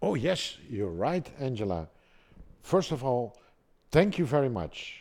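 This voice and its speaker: Pausing long and often, a man with a Dutch accent speaks at a fairly slow pace in a medium pitch with very wide pitch swings, recorded very cleanly against a silent background. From Netherlands, Amsterdam. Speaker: pump export manager. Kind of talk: casual chat; scripted narration.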